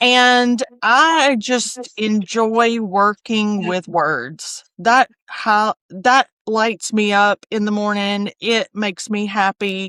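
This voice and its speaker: A woman in a South Alabama accent, fairly high-pitched with a bright, sharp tone, at a very slow pace with hardly any pauses and ordinary pitch variation, in a dry, close sound with no echo. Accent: Southern US (South Alabama). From US South (South Alabama). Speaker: copy editor and proofreader. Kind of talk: interview conversation.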